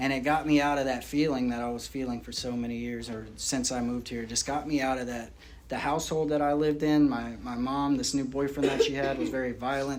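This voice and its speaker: A man with an American accent speaks at a very fast pace and medium pitch, with audible room echo. His intonation stays monotone and flat. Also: hardly any pauses. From rural North Carolina, then Florida from age ten. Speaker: recovering addict sharing story. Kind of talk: recovery testimony. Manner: casual, halting with fillers.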